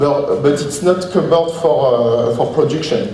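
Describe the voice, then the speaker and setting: A man with a French accent talks at a fairly slow pace with ordinary pitch variation, over light background noise and audible room echo. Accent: French accent, non-native English. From France. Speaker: software trainer presenting a plugin. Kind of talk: conference presentation with live demo. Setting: conference stage with audience. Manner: halting, many hesitations and repetitions. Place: hall. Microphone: camera far.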